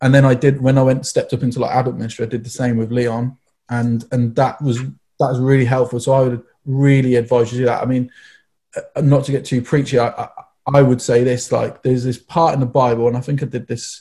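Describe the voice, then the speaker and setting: A man with a medium pitch and dark, mellow tone talks at a very fast pace, somewhat breathy, in monotone, flat intonation. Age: 30s. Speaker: youth church team member. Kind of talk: casual chat.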